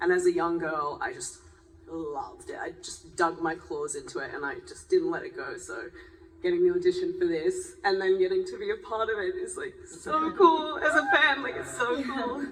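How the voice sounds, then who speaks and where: Big swings in loudness at a moderate pace, with audible room echo. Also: woman. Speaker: actress. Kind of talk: panel discussion. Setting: stage with audience.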